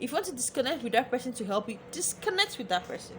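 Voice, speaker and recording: A woman's high, animated voice at a fairly quick pace, with very wide pitch swings and noticeable background noise. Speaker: lifestyle vlogger. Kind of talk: advice vlog monologue.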